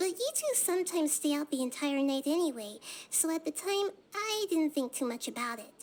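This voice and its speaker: A woman's squeaky, high put-on character voice at a fairly quick pace. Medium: game stream.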